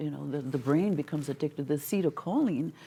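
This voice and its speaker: A dark, mellow tone with ordinary pitch variation. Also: woman. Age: 60s. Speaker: wellness technology advocate. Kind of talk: interview.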